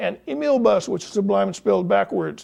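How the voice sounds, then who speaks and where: With a quiet background, a man speaks in a dark, mellow tone with lively intonation. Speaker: newspaper music columnist presenting event picks. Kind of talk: casual scripted entertainment listings. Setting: studio, seated on a couch. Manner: fast; animated, jokey.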